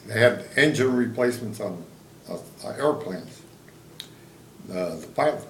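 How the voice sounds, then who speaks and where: A man with lively intonation and big swings in loudness, long, frequent pauses, and audible room echo. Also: medium pitch for a man, moderate pace. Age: 80s+. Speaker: war veteran. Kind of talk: interview. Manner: halting.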